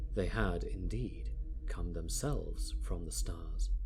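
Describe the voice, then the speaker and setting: Someone whispers at a fairly slow pace while music plays in the background. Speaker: audiobook narrator; classically trained singer and speaker. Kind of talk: dramatic audiobook reading.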